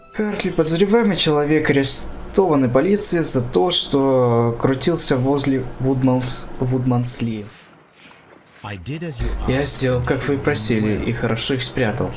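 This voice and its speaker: A quiet man talks at a fairly slow pace over noticeable background noise. His medium pitch shows ordinary variation. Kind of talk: casual let's play commentary.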